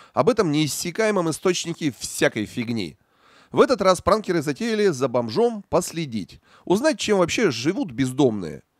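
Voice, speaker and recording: On a very clean recording with a silent background, a man with a high pitch speaks at a moderate pace, making very wide pitch swings. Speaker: news narrator. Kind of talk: scripted narration. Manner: sarcastic.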